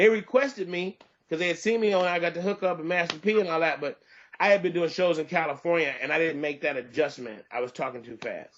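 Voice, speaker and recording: With an American accent, a man speaks at a very fast pace in a high voice, with lively intonation and an animated tone. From Detroit, Michigan. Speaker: stand-up comedian. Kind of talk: interview.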